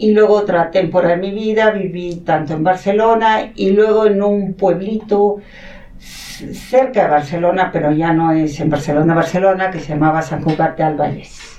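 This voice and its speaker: Over noticeable background noise, a woman speaks at a moderate pace in a medium pitch with ordinary pitch variation. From Mexico City, in a Catalan-speaking household. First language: Catalan (speaking Spanish). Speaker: academic coordinator at a school. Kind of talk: interview, personal storytelling.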